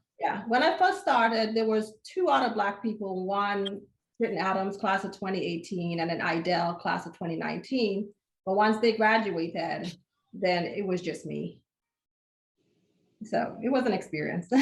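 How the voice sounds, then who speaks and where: In a slight Caribbean accent, a woman talks at a moderate pace. Her pitch is medium with ordinary variation. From Caribbean, St. Thomas, US Virgin Islands. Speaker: optometrist. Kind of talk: casual podcast interview.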